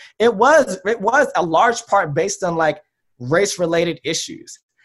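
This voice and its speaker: Speaking with an American accent, a man uses a high pitch with ordinary pitch variation. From Southern California, Long Beach. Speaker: psychologist. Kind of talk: panel discussion.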